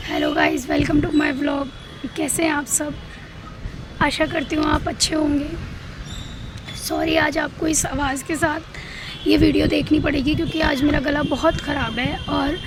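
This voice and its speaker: In a room with audible echo and noticeable background noise, a woman speaks at a fairly slow pace with long, frequent pauses, her high pitch held in a monotone, flat intonation. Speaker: vlogger. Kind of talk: casual vlog talk. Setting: outdoors on rooftop.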